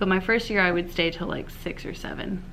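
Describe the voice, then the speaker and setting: A woman speaks at a fairly quick pace with fairly low pitch. Noticeable background noise runs behind her. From overseas, Spain and Brazil. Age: 20s. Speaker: middle school science teacher. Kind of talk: casual talk to camera.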